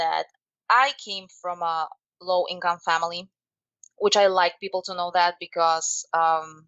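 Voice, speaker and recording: Here a woman speaks with a Slovak accent. Her pitch is medium, her intonation fairly even. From Slovakia. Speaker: life coach and motivational speaker. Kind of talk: interview. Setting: podcast.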